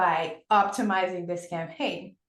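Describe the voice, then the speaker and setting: A woman talks at a medium pitch. Audible echo fills the room around her. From Senegal. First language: French. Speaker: podcast host. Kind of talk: interview. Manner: animated.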